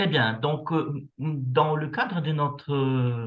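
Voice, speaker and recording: Very slow delivery comes in a voice that is somewhat breathy. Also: man. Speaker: university researcher. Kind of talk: lecture. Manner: hesitant, many fillers.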